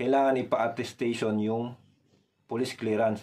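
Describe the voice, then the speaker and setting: A man's dark, mellow tone carries fairly even intonation at a moderate pace. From Philippines. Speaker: vlogger, overseas worker; vlogger. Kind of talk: vlog tutorial. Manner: casual, conversational. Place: home room. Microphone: phone near.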